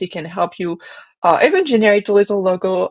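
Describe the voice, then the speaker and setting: A woman with a French accent uses ordinary pitch variation, and the sound is dry and close with no echo. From France. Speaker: marketing agency founder and designer. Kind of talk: interview.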